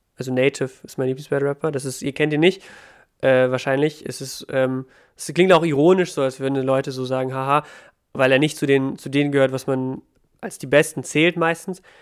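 In a plain, everyday voice, a man with fairly high pitch talks at a fairly quick pace, his intonation fairly even and his loudness swinging widely. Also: very clean recording, silent background. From Ukraine. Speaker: battle rapper. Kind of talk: casual interview.

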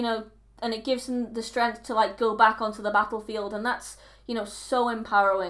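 A woman with an ordinary speaking voice and fairly high pitch talks at a moderate pace on a very clean recording with a silent background. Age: 20s. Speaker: film podcast co-host. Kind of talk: casual chat.

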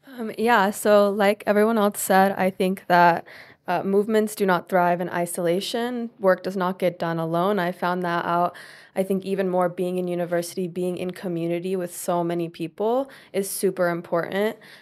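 In a very clean recording with a silent background, a woman with an American accent speaks in a normal speaking voice. She talks at a moderate pace and medium pitch, with fairly even intonation. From US South, Tennessee. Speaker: university student and intern. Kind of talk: panel discussion.

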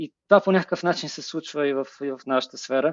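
A fairly quick pace with ordinary pitch variation. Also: man. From Bulgaria, Plovdiv. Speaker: web designer and creative director. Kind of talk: interview. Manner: halting, many filler sounds.

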